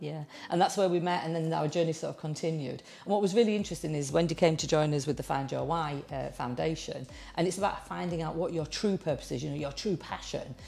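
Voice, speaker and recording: A woman with a northern English accent, very deep low pitch, vocal fry, a dark mellow tone, ordinary pitch variation and a very fast pace. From northern England. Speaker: interviewer. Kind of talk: interview.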